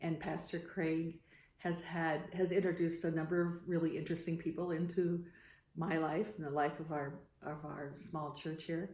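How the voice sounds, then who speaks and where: A woman with a Midwestern American accent speaks at a moderate pace in a fairly low voice with a dark, mellow tone. Room echo is audible. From US Midwest, Iowa. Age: 60s. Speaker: photographer and climate activist. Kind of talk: interview. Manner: halting.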